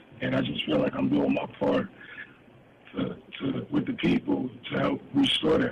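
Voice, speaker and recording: A man speaks at a moderate pace, pausing often and at length, over noticeable background noise. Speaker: businessman and author. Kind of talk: interview.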